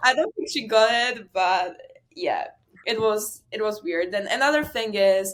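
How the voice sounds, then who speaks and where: A woman with a Slovak accent speaks at a moderate pace. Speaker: college tennis player. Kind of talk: interview, casual chat.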